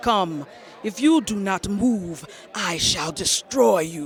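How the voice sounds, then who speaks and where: A man in a put-on character voice at a high pitch and a very slow pace, with clear background noise. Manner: menacing, commanding.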